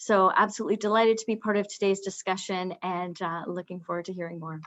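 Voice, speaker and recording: Against a quiet background, a woman with a Canadian accent speaks at a very fast pace in a monotone, flat intonation at medium pitch. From Canada. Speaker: pharma patient affairs manager. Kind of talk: webinar introduction. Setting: video call.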